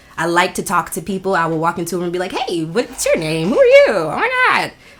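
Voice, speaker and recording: A woman talks very quickly, with noticeable noise in the background. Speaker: podcast host. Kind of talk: casual chat. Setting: in a house. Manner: fast.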